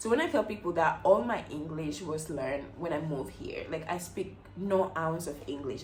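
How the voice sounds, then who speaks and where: A woman with a fairly low pitch talks at a moderate pace, with hardly any pauses and ordinary pitch variation. There is audible room echo along with noticeable background noise. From Equatorial Guinea. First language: Spanish. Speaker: beauty vlogger. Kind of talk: casual chat. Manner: animated.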